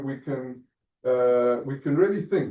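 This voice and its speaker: Speaking at a fairly slow pace, a man with a South African accent has a dark, mellow tone and ordinary pitch variation. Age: 50s. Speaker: Holocaust family history speaker. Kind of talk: talk to students. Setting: lecture room with Zoom audience. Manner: halting.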